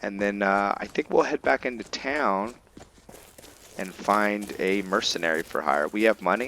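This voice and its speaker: With noticeable background noise behind him, a man speaks at a moderate pace in a fairly low pitch with ordinary pitch variation. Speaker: gaming streamer. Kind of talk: gameplay commentary. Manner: casual, halting with fillers.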